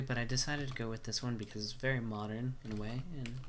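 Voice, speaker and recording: A man of medium pitch talks at a moderate pace, with audible room echo. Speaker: gaming youtuber. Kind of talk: game map showcase commentary. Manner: casual, filler-heavy.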